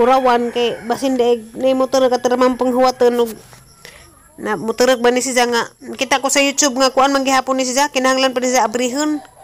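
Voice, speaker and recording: A woman speaks fairly quickly at a high pitch, her intonation monotone and flat and her loudness very even. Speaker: home vlogger. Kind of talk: casual vlog chat. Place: garden. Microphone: phone near.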